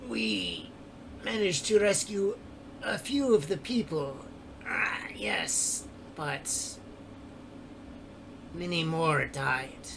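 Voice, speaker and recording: A man puts on a character voice with fairly high pitch, speaking at a very slow pace. Long, frequent pauses break up his speech, and background noise is clear. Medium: actual play. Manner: gentle, friendly.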